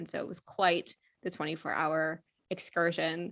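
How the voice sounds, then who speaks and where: Captured on a very clean recording with a silent background, a woman in an American accent speaks at a fairly low pitch with a bright, sharp tone. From US, Pennsylvania. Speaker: marketing agency co-founder. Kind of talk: podcast interview.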